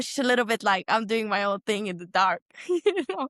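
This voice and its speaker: A moderate pace in a dry, close sound with no echo. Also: woman. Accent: Estonian. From Estonia. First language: Estonian. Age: 20s. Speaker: professional cyclist. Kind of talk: casual chat.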